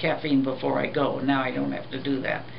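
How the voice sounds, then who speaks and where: The pace is fairly quick. There is noticeable background noise. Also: woman. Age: 80s+. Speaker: dental patient. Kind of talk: interview answer. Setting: wearing an oral orthotic. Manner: hesitant, with fillers.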